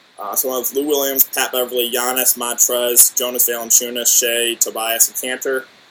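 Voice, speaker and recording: Noticeable background noise sits behind the recording. A man speaks at a medium pitch. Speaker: daily fantasy sports YouTuber. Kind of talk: casual YouTube video monologue.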